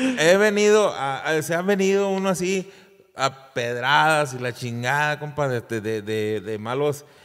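Against a quiet background, a man talks fairly slowly at a fairly high pitch, his voice making very wide pitch swings. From Mexico, Durango. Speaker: singer; podcast guest. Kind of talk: casual chat. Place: studio. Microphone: studio mic.

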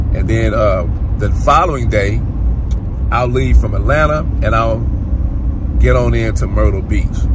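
Over noticeable background noise, a man talks with a dry sound and no echo. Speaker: travel vlogger. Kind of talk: casual vlog chat. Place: car. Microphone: phone near.

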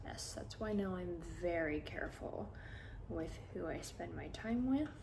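A soft-spoken woman talks at a fairly slow pace over light background noise. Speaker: social media content creator; ASMR creator. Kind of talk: ASMR sleep video, softly spoken chat. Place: home room.

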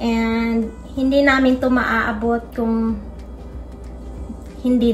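A woman speaks with faint music playing in the background. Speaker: cooking vlogger. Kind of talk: casual vlog chat. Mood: warm and grateful. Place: kitchen. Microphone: phone near.

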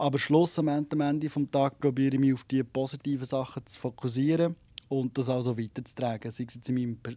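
In a Swiss accent, a man talks at a fairly quick pace with a dark, mellow tone. His intonation is monotone and flat, and the sound is dry with no echo. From Switzerland. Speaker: singer-songwriter; interviewee. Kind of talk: radio interview. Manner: halting, many repetitions. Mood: relaxed, friendly. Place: studio. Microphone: handheld.

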